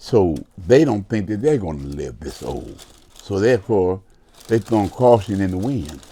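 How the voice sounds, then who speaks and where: With a dark, mellow tone and a fairly low pitch, a man speaks at a moderate pace using very wide pitch swings. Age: 70s. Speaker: former prisoner, coach. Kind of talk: casual interview.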